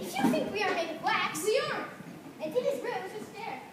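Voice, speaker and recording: A put-on character voice at an extremely high pitch talks at a fairly quick pace. Loud background noise and a clear echo fill the recording. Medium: stage play. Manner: playful, theatrical.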